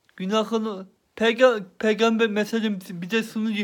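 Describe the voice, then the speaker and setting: A high-pitched male voice with fairly even intonation. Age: 20s. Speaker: religious teacher. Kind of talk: religious talk. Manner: halting. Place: home room. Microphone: phone near.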